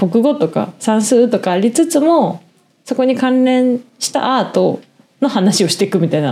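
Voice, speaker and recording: A woman talks at a moderate pace in a fairly high voice with a dark, mellow tone. Her pitch swings very widely. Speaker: podcast co-host. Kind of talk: casual chat.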